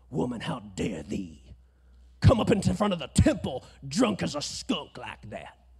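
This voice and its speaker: A man's put-on character voice at medium pitch and a moderate pace. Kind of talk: archaic, formal, old-fashioned. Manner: booming, accusing, stern.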